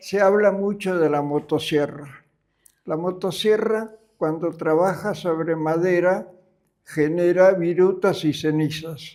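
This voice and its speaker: A high-pitched male voice at a very slow pace with fairly even intonation. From Argentina. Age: 90s. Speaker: retired engineer. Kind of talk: interview.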